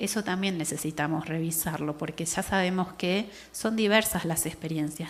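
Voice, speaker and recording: With a non-native accent, a woman speaks in fairly even intonation. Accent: foreign Spanish. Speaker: anthropologist. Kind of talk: lecture.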